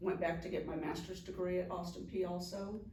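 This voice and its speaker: In an American accent, a woman with a fairly low voice talks at a moderate pace amid audible room echo. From California, Anaheim. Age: 60s. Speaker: juvenile court director. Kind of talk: casual interview. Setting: sit-down interview with mayor.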